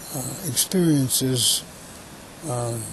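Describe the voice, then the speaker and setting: Noticeable background noise sits behind the speech. A man talks at medium pitch. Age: 80s+. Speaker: conservationist. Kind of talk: interview answer. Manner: hesitant.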